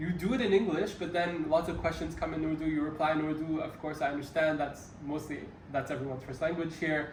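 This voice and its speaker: A man talks at a very fast pace in a fairly high voice with fairly even intonation. Room echo and background noise are both noticeable. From Kenya. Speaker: workshop participant. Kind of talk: interview question.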